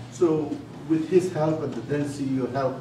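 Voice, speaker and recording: A man's fairly even intonation amid noticeable background noise and audible room echo. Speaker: physician. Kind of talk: lecture. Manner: fast.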